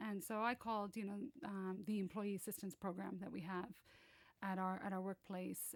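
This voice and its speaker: The speech comes in an American accent at a moderate pace. Pitch variation is ordinary. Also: woman. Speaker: banking executive. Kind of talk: podcast interview. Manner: hesitant, filler-heavy.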